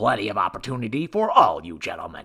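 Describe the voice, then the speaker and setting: Putting on a character voice, this man keeps his pitch in the medium range. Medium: read story. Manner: curt, authoritative.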